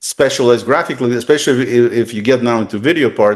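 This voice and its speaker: Against a quiet background, a man with a Russian accent talks at a very fast pace. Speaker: tech consultant. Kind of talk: interview. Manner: halting.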